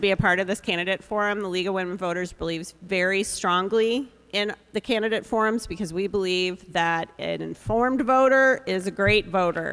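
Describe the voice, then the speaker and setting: Woman at a medium pitch and moderate pace, with ordinary pitch variation. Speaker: forum moderator. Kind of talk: moderating a public candidate forum. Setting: public forum with live audience, live streamed. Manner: loud.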